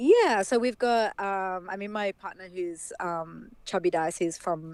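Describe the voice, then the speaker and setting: A woman with an Australian accent, very slow, medium-pitched, with ordinary pitch variation, on a very clean recording with a silent background. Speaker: dancehall dancer. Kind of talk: casual chat.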